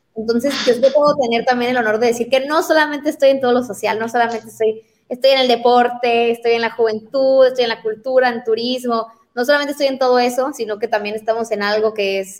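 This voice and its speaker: Talking very fast, this woman keeps her pitch fairly high. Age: 20s. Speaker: city councillor. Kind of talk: political interview.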